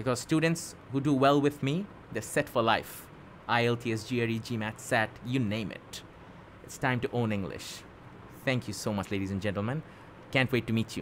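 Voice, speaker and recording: This man talks at a moderate pace with ordinary pitch variation. Light background noise sits behind him. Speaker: English tutor. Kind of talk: self-introduction promo talk. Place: home room. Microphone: studio mic.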